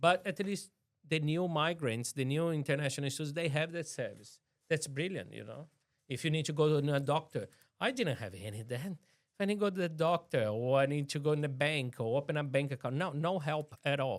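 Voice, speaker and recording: A man with a strong Brazilian accent talks at a fairly quick pace and fairly high pitch, with ordinary pitch variation. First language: Portuguese. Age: 40s. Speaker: city councillor. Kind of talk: interview.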